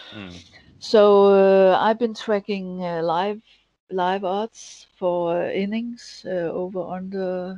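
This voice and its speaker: A woman with a Danish accent speaks at a medium pitch in a dark, mellow tone. Her very slow, flat monotone delivery carries big swings in loudness. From Denmark. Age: 50s. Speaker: data analyst and sports bettor. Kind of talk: interview. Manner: halting.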